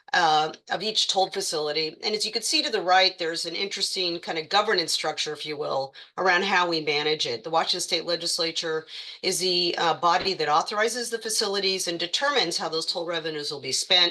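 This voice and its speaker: Over noticeable background noise, a woman with a fairly low pitch and ordinary pitch variation speaks at a very fast pace with hardly any pauses. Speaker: transportation agency executive director. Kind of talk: presentation at a public online meeting. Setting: online meeting.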